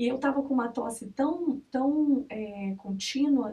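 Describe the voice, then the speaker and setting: Very slowly, a woman speaks in a high pitch with ordinary pitch variation. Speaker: mother sharing birth story. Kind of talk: testimony.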